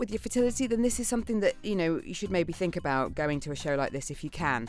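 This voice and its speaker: A woman with a British accent speaks at a medium pitch with very wide pitch swings, recorded very cleanly against a silent background. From UK. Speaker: podcast host. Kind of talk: interview.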